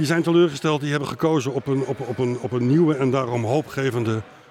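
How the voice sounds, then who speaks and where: Through noticeable background noise, a man speaks at a medium pitch with ordinary pitch variation. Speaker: podcast co-host. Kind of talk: political interview. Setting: live podcast recording at a media festival, bar noise.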